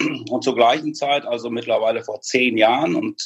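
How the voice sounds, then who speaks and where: The sound is dry and close with no echo, and the talking goes at a moderate speed. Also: man. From Münster area, Westphalia, Germany. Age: 50s. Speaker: hearing aid industry executive. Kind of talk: casual interview.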